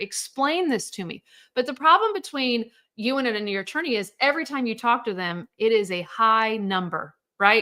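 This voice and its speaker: A woman speaks in an animated tone with a fairly high pitch and a bright, sharp timbre. The recording is very clean, with a silent background. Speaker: divorce coach. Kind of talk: live stream sales pitch. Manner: fast.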